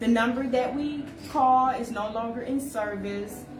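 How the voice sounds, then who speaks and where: Amid audible room echo and noticeable background noise, a woman speaks in an animated tone at a fairly high pitch. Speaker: show host, contest organizer. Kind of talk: voicemail message; casual live-stream chat.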